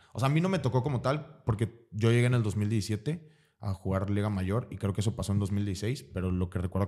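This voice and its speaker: In a very clean recording with a silent background, a man speaks at a moderate pace with a fairly low pitch and ordinary pitch variation. His tone is dark and mellow and somewhat breathy. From Mexico, Veracruz. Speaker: American football player. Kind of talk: casual interview.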